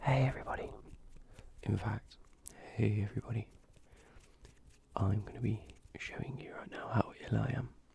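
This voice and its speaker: Whispering in a British accent, broken by long, frequent pauses. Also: moderate pace. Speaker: ASMR youtuber. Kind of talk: ASMR video commentary.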